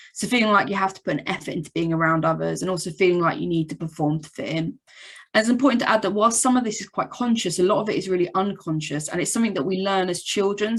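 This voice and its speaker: A woman talks at a very fast pace. Her pitch is medium. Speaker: psychologist. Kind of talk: presentation. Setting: video call. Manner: monotone.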